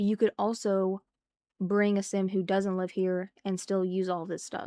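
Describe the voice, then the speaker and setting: A woman speaks in a relaxed tone with monotone, flat intonation and a dark, mellow quality, captured dry and close with no echo on a very clean recording against a silent background. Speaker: gaming streamer. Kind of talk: casual chat. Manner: talking weird due to throat; relaxed, chatty.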